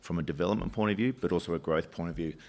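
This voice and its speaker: A man speaks with an Australian accent in a very deep, low pitch. His pitch varies in an ordinary way, and the background is quiet. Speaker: mining company executive. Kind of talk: investor presentation. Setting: conference stage with audience. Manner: halting, many fillers and restarts.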